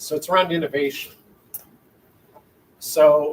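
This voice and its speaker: A man with a Wisconsin accent. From Minnesota. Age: 60s. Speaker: university chancellor. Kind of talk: interview. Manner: rambling, conversational.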